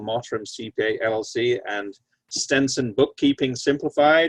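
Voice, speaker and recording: In a British accent, a man talks at a moderate pace and a medium pitch. His intonation is fairly even, and the sound is dry and close with no echo. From Britain. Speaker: lawyer, panel moderator. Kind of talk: panel moderation, introductions. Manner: halting, many fillers.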